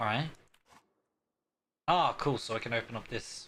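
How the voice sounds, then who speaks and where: Delivered in an Australian accent, the speech moves at a rather slow pace. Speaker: gaming streamer.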